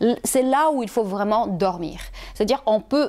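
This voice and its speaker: A woman with a non-native accent speaks at a medium pitch and a moderate pace. Her intonation is lively, and the background is quiet. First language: not French (speaking French). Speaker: health and wellness vlogger; wellness vlogger. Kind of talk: casual advice video to camera. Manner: hesitant with fillers. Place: home room. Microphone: lapel.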